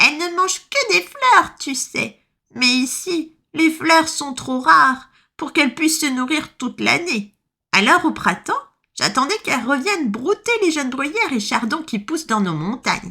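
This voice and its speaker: In a put-on character voice, a woman talks at a high pitch and a moderate pace. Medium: read story. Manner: soft, warm.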